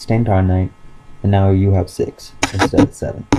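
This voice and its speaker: Noticeable background noise sits behind the voice. The intonation is monotone and flat. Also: man. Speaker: YouTuber presenting card game deck. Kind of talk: casual deck profile tutorial. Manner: hesitant, many fillers.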